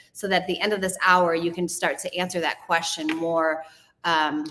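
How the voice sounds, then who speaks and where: Fairly even intonation accompanies delivery at a moderate pace. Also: woman. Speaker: host of a Bible study show. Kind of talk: casual group discussion. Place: hall.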